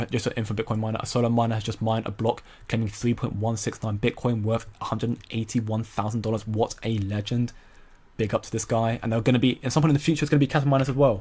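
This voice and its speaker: A man speaks at a very fast pace with an American accent. His voice is somewhat breathy. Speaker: crypto streamer. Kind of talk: live stream commentary. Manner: animated.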